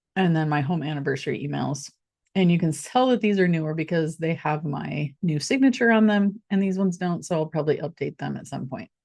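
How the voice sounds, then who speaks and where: A woman talks at a fairly quick pace in an ordinary speaking voice, fairly low in pitch, with lively intonation. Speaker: real estate agent. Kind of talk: tutorial. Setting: screen share recording.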